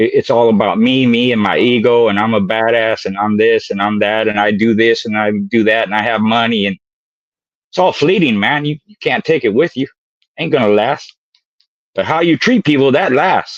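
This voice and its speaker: An ordinary speaking voice from a man at medium pitch, moderate pace and ordinary pitch variation. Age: 60s. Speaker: dog breeder. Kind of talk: casual chat. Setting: live stream.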